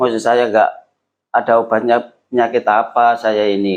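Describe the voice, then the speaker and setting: The speaker is a man at a medium pitch. His pace is moderate. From East Java (Lamongan). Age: 50s. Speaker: tuberculosis survivor. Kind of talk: interview testimony.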